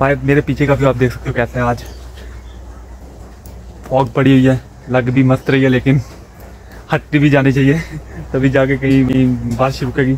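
A man speaks at a moderate pace with long, frequent pauses and monotone, flat intonation. The sound is dry with no echo, over light background noise. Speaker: village vlogger who keeps birds. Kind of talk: casual vlog chat. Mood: relaxed, slightly worried. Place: open country. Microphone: phone near.

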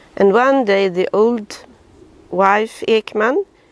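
A woman with a Swedish accent speaks at a fairly high pitch with lively intonation. The sound is dry with no echo. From Sweden. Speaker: family history narrator. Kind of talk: video narration for relatives. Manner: halting, frequent uh fillers. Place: garden. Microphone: camera far.

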